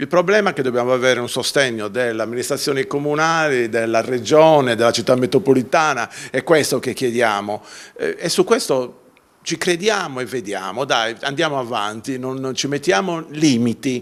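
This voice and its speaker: Medium-pitched male voice with ordinary pitch variation at a moderate pace, on a very clean recording with a silent background. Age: 60s. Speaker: artisan association organizer. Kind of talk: TV interview. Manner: halting, many fillers.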